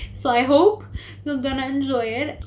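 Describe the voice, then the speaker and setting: A woman speaks with audible room echo. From Lebanon. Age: 20s. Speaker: book vlogger. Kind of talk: casual vlog talk. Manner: hesitant, many fillers.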